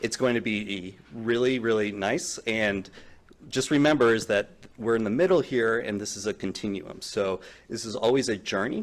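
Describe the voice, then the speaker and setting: This man has a medium-pitched voice with an American accent and ordinary pitch variation. He talks at a moderate pace on a very clean recording with a silent background. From US, Philadelphia. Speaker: development official. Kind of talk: welcome speech.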